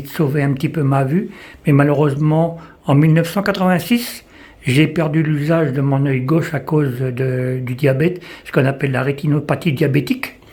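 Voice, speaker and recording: Somewhat breathy and fairly high in pitch, a man speaks at a moderate pace with fairly even intonation. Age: 60s. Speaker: visually impaired person giving testimony. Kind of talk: testimony. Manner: halting.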